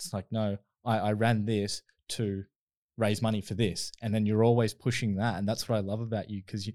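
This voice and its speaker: A man speaks in a plain, everyday voice, fairly low in pitch and fairly quick, with fairly even intonation. The sound is dry and close with no echo on a very clean recording with a silent background. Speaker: podcast host. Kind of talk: casual interview chat.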